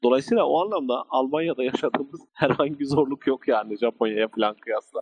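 A man with a fairly high pitch talks at a fairly quick pace with very wide pitch swings, in a dry, close sound with no echo. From Turkey (Muş, Ankara). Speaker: computer and electronics engineer. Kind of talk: interview guest, telling career story. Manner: formal.

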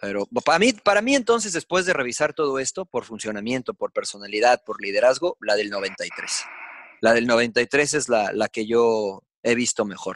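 A man's normal speaking voice, medium in pitch, at a moderate pace with lively intonation. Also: dry, close sound with no echo. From Mexico. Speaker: sports commentator. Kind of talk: casual chat.

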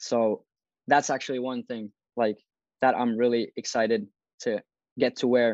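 Speaking at a moderate pace with long, frequent pauses, a man with a Finnish accent and medium pitch uses a monotone, flat intonation in a dry, close sound with no echo. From Finland. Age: 20s. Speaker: fashion YouTuber. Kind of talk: interview.

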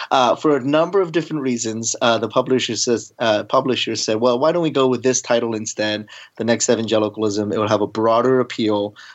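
A man speaks at a medium pitch in a normal speaking voice. His pitch varies in an ordinary way. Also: fairly quick pace, hardly any pauses. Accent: American. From US, Baltimore. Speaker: seminary professor. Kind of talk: interview.

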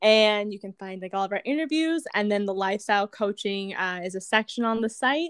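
A woman's plain, everyday voice in an American accent, medium in pitch with lively intonation, at a fairly quick pace with hardly any pauses, big swings in loudness, and a dry, close sound with no echo. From California. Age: 20s. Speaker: wellness coach and business founder. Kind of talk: casual interview chat.

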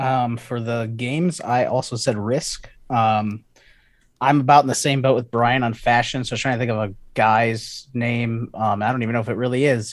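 A man with an American accent speaks at medium pitch and a moderate pace with fairly even intonation, on a very clean recording with a silent background. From Chicago, Illinois. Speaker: trivia contestant, IT technician. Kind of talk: casual game-show chat. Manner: hesitant, many fillers.

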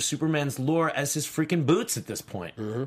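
Speaking in an American accent at a moderate pace, a man has a fairly high pitch and ordinary pitch variation. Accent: New York, comes out at times. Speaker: film podcast co-host. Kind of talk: casual chat. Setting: studio.

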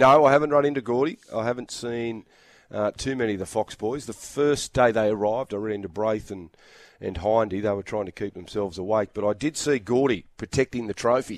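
A man speaks in an Australian accent. His pace is fairly quick. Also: medium pitch for a man, ordinary pitch variation, dry, close sound with no echo. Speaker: rugby league commentator. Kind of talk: casual chat.

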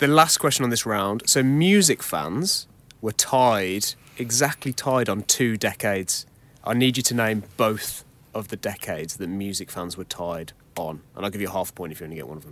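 In an ordinary speaking voice, a man talks at a moderate pace with a fairly low pitch and big swings in loudness. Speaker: quiz statistician co-host. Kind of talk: quiz explanation.

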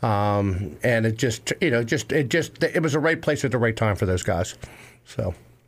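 A plain, everyday voice with an American accent, lively intonation, a moderate pace and very even loudness. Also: man, medium pitch for a man. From Western Maryland (Cumberland). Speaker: high school baseball coach. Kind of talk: interview.

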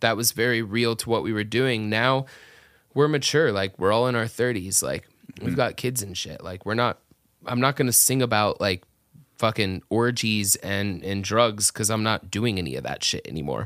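A man with a normal speaking voice talks at a moderate pace in an American accent, his medium pitch showing ordinary pitch variation. The recording is very clean, with a silent background. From US South, Atlanta area. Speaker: metal band singer. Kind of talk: casual chat. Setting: studio, in person.

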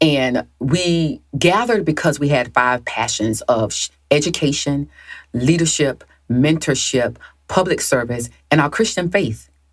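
Over a very clean recording with a silent background, a woman with a very deep, low pitch talks at a fairly slow pace, using lively intonation and very even loudness. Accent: Southern US. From US South. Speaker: author and Marine veteran. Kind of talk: podcast interview.

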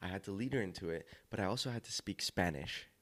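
Here is a man with an ordinary speaking voice and an American accent. He talks at a fairly quick pace with a fairly low pitch and ordinary pitch variation. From Los Angeles, California. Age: 20s. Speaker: dancer and actor. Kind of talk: interview. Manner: cheerful, laughs often.

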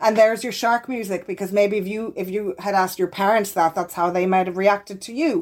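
A woman with an Irish accent at medium pitch, fairly quick and with hardly any pauses, ordinary pitch variation and big swings in loudness, in a very clean recording with a silent background. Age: 40s. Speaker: clinical psychologist. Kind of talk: interview.

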